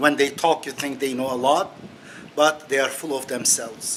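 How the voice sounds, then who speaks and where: A man speaks with a non-native accent. Noticeable background noise can be heard. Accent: foreign accent, non-native English. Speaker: religious author and critic. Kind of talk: monologue video commentary. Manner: halting, with many fillers.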